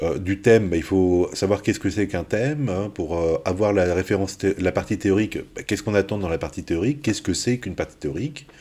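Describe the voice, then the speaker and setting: A man's dark, mellow voice, fairly low in pitch, with ordinary pitch variation and a fairly quick pace. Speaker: university maths lecturer. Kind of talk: recorded lecture. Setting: pre-recorded video. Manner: hesitant, many fillers.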